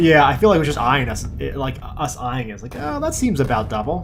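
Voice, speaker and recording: A man with a normal speaking voice talks at a fairly quick pace and fairly high pitch. His pitch varies in an ordinary way, while his loudness swings widely. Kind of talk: casual gameplay commentary.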